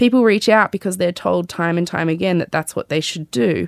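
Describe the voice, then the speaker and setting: A woman speaks with an Australian accent, fairly low in pitch and at a fairly quick pace. The sound is dry and close with no echo, on a very clean recording with a silent background. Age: 30s. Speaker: podcast host and memoir author. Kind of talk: reading aloud from memoir; casual chat with mum. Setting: studio.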